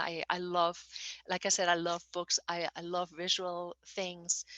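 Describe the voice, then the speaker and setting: With a German accent, a woman speaks at a moderate pace in a fairly low pitch with a bright, sharp tone, recorded dry and close with no echo against a quiet background. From Germany. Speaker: novelist. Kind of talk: interview. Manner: halting, with frequent fillers and repetitions.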